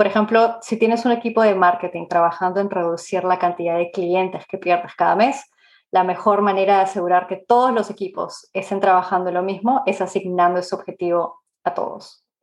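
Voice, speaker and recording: Her pitch sits in the middle range for a woman. She keeps a fairly quick pace and fairly even intonation. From Peru, Lima. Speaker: product management expert. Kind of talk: interview. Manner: hesitant, many fillers.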